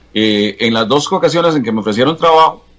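Using an ordinary speaking voice, a man talks with ordinary pitch variation. His pace is fairly quick. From Costa Rica, Alajuela province (Atenas, Santa Bárbara). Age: 60s. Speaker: veteran TV journalist. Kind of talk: interview about his life.

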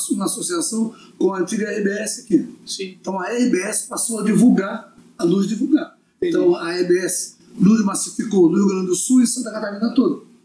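Lively intonation marks a man's high voice as he speaks at a moderate pace. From Brazil, Florianópolis. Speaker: samba musician. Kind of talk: casual chat.

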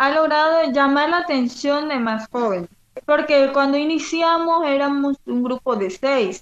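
A fairly slow pace from a woman with a high pitch. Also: ordinary pitch variation. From Colombia, La Guajira (Wayuu community). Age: 20s. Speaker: community tourism organizer. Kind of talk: interview.

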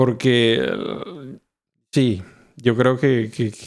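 A man speaks at medium pitch. His intonation stays fairly even. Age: 40s. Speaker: podcast host. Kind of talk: casual chat.

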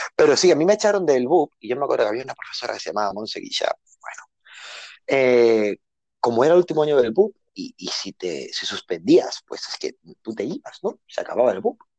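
The sound is dry and close, with no echo. A man speaks with big swings in loudness. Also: fairly quick pace. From Barcelona, Spain. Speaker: journalist. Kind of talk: casual chat.

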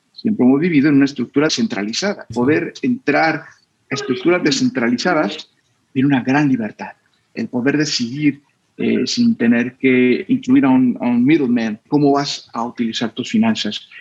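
This man has an ordinary speaking voice, fairly high in pitch, with lively intonation at a moderate pace. The sound is dry and close, with no echo. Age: 40s. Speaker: finance expert and crypto investor. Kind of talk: interview.

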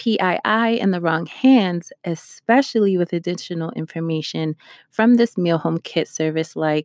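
On a very clean recording with a silent background and a dry, close sound with no echo, a woman with an American accent speaks in an unremarkable speaking voice at a moderate pace, her fairly low pitch showing ordinary variation. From New York. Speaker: podcast host, cybersecurity. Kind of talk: solo podcast, news reading and commentary. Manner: laughs often.

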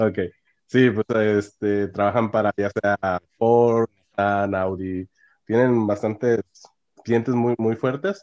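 This man's fairly low voice moves at a very slow pace with monotone, flat intonation. The sound is dry and close, with no echo. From northern Mexico (Monclova, Coahuila; Monterrey). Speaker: mechatronics engineer. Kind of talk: interview. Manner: halting, frequent fillers and repetitions.

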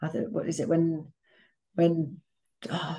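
At a moderate pace, a woman with an East Midlands accent speaks with a fairly low pitch and a dark, mellow tone. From Leicester, England. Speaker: recruitment company founder. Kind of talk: casual chat.

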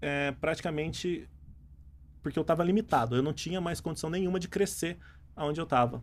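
With a normal speaking voice, this man talks at a fairly high pitch and ordinary pitch variation. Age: 30s. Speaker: entrepreneur and engineer. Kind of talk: casual interview.

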